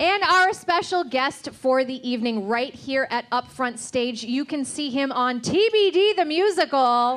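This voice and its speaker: A woman's pitch swings very widely while noticeable background noise fills the recording. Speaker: scorekeeper and show co-organizer. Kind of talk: live quiz show comedy. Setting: stage with audience.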